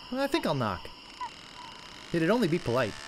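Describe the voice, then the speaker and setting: A put-on character voice sits at a middle pitch and moves at a fairly quick pace. Background noise is clear. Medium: video game. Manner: earnest, slightly goofy.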